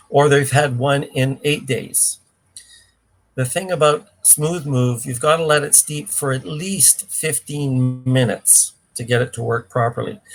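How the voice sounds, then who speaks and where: A man talks fairly slowly in a fairly high voice with ordinary pitch variation. Music plays in the background. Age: 60s. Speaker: cleanse program expert. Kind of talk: live Q&A.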